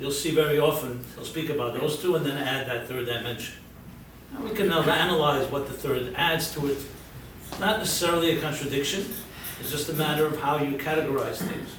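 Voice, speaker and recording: A man with an American accent at a fairly high pitch, ordinary pitch variation and a fairly quick pace, amid audible room echo and noticeable background noise. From US Northeast, Brooklyn. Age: 60s. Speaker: rabbi and lecturer. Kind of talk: lecture.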